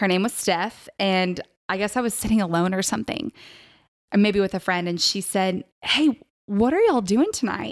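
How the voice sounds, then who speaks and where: In a plain, everyday voice, a woman with an American accent speaks at a medium pitch with ordinary pitch variation, on a very clean recording with a silent background. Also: moderate pace. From Texas. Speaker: college ministry leader. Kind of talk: casual chat.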